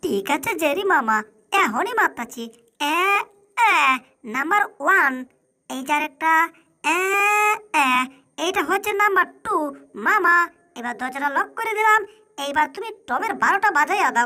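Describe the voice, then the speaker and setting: This is a put-on character voice, pitched extremely high. It sounds squeaky. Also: moderate pace. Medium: fan dub. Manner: eager, deferential.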